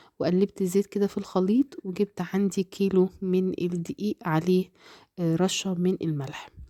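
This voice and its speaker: A woman's dark, mellow voice at medium pitch, moderately paced and fairly even in intonation, in a dry, close recording with no echo, very clean, with a silent background. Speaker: cooking channel host. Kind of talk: cooking tutorial.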